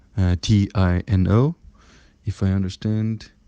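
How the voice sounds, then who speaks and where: A man speaks with a very deep, low pitch and a dark, mellow tone. His intonation is monotone and flat, and the sound is dry and close with no echo. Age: 20s. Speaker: IT worker and entrepreneur. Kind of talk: voice message.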